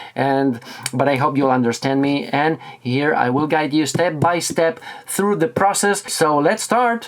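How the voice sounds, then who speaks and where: Over noticeable background noise, a man with a fairly high pitch speaks at a fairly slow pace, his pitch swinging very widely. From Spain, Barcelona. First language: Catalan or Spanish. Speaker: tech reviewer. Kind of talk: tutorial. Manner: halting.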